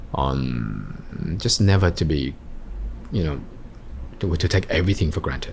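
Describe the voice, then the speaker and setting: Over noticeable background noise, a man talks at a fairly slow pace with long, frequent pauses. His very deep, low pitch carries lively intonation. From Australia, Sydney's western suburbs. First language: Vietnamese. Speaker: entrepreneur. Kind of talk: interview. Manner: halting.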